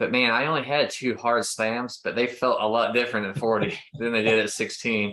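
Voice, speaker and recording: A man with an American accent speaks at medium pitch in a bright, sharp tone. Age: 40s. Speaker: podcast host, ministry leader. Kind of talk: casual interview chat.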